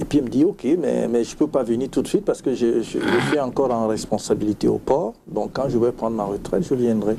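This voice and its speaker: The speech moves at a fairly quick pace with hardly any pauses and ordinary pitch variation. Noticeable background noise is present. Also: man, medium pitch for a man. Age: 60s. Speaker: sleep medicine doctor. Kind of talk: TV interview.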